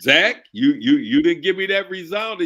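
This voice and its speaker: With a raised, projected voice, a man speaks fairly slowly in a bright, sharp tone and lively intonation. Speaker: military veteran guest. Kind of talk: casual chat. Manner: talkative.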